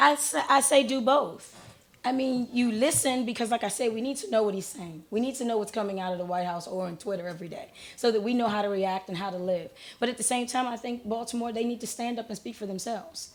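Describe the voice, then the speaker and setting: Talking at a very fast pace in an American accent, a woman with a fairly high pitch uses ordinary pitch variation. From Maryland, Prince George's County. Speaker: basketball coach and community activist. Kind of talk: radio talk show interview.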